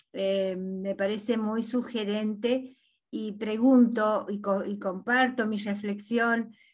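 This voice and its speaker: A woman speaks in a monotone, flat way at a fairly high pitch, her voice somewhat breathy. She goes at a very slow pace against a quiet background. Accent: Argentine. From Argentina, Catamarca; Argentina. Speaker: audience participant. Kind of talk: question from audience. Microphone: video call.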